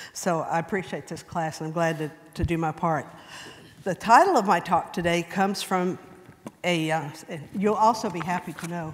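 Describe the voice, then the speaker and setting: Against noticeable background noise, a woman with an American accent talks at a moderate pace, leaving long, frequent pauses. Her fairly low voice keeps a fairly even intonation. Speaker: church member speaker. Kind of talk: personal testimony talk. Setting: church class.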